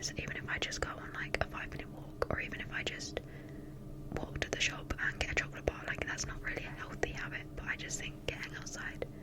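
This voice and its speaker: Whispering, a woman speaks at a fairly quick pace. Noticeable background noise can be heard. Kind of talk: ASMR whisper ramble. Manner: whispered.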